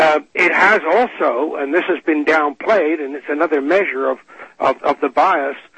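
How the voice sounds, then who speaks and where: The speed here is moderate. The voice is a plain, everyday voice. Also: man. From England, emigrated to Canada in 1957. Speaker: climatologist, former air force pilot. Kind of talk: radio interview.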